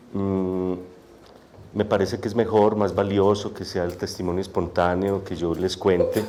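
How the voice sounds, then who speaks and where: Speaking at a fairly slow pace, a man uses a dark, mellow tone and monotone, flat intonation. Audible room echo surrounds his voice. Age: young. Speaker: poet and author. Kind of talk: testimony. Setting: auditorium with audience, microphone. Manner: soft-spoken.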